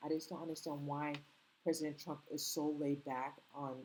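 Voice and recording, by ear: A moderate pace with a slight non-native accent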